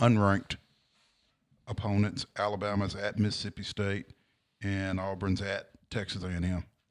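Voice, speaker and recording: A man talks at a fairly slow pace and fairly low pitch, with monotone, flat intonation. The recording is very clean, with a silent background. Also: long, frequent pauses. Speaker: sports talk co-host. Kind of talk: casual sports talk show.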